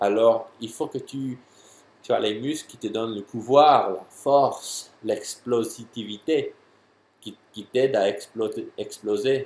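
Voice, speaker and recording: The man's loudness rises and falls in big swings. He talks at a very slow pace. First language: English (speaking French). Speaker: jumping and athletic trainer. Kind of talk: tutorial answering a viewer question. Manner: halting, many hesitations and repeats.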